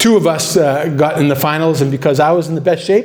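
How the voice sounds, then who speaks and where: A man speaks at a moderate pace with ordinary pitch variation. The recording has audible room echo and noticeable background noise. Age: 60s. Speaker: university president. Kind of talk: ceremony speech.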